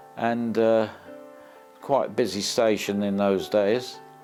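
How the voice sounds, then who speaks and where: Music plays in the background as a man talks at a very slow pace. His pitch is fairly low, with fairly even intonation. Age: 80s+. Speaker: retired ambulance driver. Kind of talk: interview answer.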